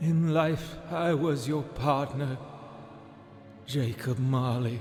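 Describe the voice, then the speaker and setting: A man uses a put-on character voice at a very slow pace with a fairly high pitch. Background noise is clearly heard. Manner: slow, solemn.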